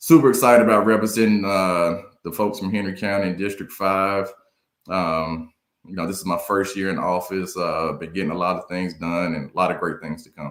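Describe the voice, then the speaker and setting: Speaking at a fairly quick pace in an American accent, a man uses a very deep, low pitch with ordinary pitch variation. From North Carolina, Durham. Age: 50s. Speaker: county commissioner. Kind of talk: interview. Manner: halting, many repeated words.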